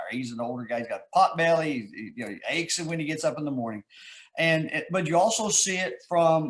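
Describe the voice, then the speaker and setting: With a Texas accent, a man speaks using lively intonation. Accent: Texas drawl. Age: 60s. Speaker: author. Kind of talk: interview. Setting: live video stream.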